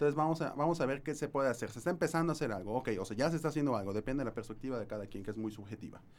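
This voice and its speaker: At a very fast pace with hardly any pauses, a man talks in a medium pitch with lively intonation. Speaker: podcast host. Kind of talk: live-streamed casual discussion. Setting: studio. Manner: halting.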